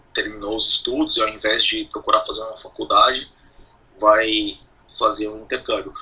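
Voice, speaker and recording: A man talks over noticeable background noise. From Brazil, São Paulo. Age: 40s. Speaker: emigrant sharing experience. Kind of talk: casual interview.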